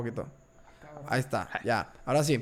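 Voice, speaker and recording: A man is speaking. His pitch is medium. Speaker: podcast host. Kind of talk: casual chat.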